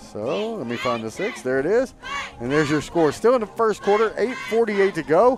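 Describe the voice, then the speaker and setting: A loud, high male voice at a fairly quick pace, with very wide pitch swings and noticeable background noise. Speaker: play-by-play announcer. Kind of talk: live sports commentary. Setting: live broadcast at a high school football game.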